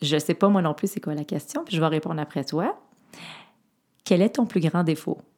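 At a moderate pace, a woman with a fairly low pitch and ordinary pitch variation speaks with long, frequent pauses. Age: 40s. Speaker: podcast host. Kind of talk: interview.

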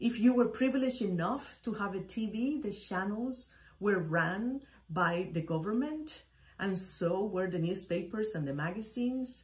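A woman's medium-pitched voice with a Spanish accent, lively intonation and a fairly slow pace, over noticeable background noise. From Cuba. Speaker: podcast host. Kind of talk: personal storytelling monologue.

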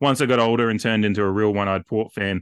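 A man with an Australian accent speaks very fast at a fairly low pitch. His intonation is fairly even, and the background is quiet. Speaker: football podcaster. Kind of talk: casual chat.

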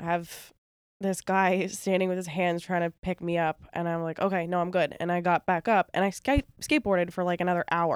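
In an American accent, a woman uses a plain, everyday voice at a fairly low pitch, with fairly even intonation and a fairly quick pace. The recording is very clean with a silent background and a dry, close sound with no echo. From New York (Long Island). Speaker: singer-songwriter. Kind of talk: casual chat.

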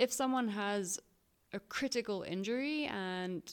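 A woman's voice at medium pitch with ordinary pitch variation, at a very slow pace, on a very clean recording with a silent background. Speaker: podcast co-host and mountain runner. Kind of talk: casual chat. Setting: campsite.

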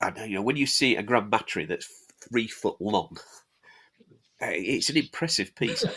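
This man with a Yorkshire accent has a medium pitch, a bright, sharp tone and lively intonation. He keeps a moderate pace but pauses long and often. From Yorkshire, Halifax. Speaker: miniatures manufacturer and rules writer. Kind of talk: casual chat.

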